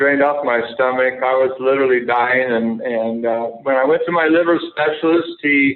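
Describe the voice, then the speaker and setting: At a moderate pace and medium pitch, a man talks with fairly even intonation and hardly any pauses. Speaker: former major league pitcher and author. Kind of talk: interview. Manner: halting, many fillers.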